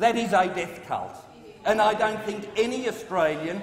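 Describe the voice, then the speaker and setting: The voice carries audible room echo over light background noise. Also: man. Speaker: government minister. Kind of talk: parliamentary debate speech. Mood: indignant, combative. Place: hall. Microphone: podium.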